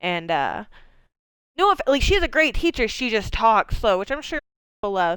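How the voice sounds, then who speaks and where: With a slight Maine accent, a woman speaks at a fairly quick pace and fairly high pitch, her animated tone and lively intonation captured in a very clean recording with a silent background. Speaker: video game streamer. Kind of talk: live gameplay commentary. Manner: fast.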